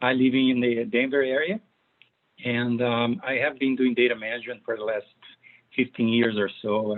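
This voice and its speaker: At a fairly quick pace, a man with a Brazilian accent talks at a medium pitch. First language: Portuguese. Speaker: data management consultant and author. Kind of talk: presentation. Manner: hesitant, many fillers.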